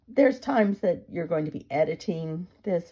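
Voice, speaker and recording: The tone is dark and mellow. Delivery has a moderate pace and lively intonation. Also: woman. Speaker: painter. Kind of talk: painting tutorial narration.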